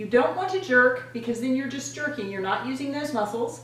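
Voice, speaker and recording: An upbeat tone rides on very wide pitch swings, with noticeable background noise and audible room echo. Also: woman. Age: 60s. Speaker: fitness and beauty vlogger. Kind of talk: exercise tutorial. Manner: upbeat, encouraging.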